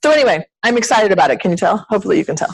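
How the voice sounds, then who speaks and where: A loud woman in an animated tone with very wide pitch swings. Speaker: sales team leader. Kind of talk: team meeting pep talk. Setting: meeting room with audience, also on video call.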